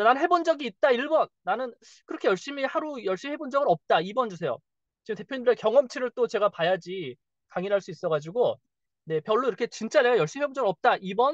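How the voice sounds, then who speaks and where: Here a man talks at a very fast pace in an extremely high pitch. His tone is animated, with very wide pitch swings. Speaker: marketing coach. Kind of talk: webinar presentation.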